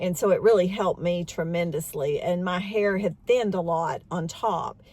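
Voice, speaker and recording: With a fairly low, somewhat breathy voice, a woman talks at a moderate pace and fairly even intonation. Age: 60s. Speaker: beauty vlogger. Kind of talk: casual talk to camera. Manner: conversational, with fillers.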